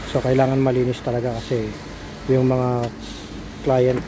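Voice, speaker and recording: A soft-spoken man at a medium pitch, with noticeable background noise. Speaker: vlogger and small business owner. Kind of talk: casual vlog.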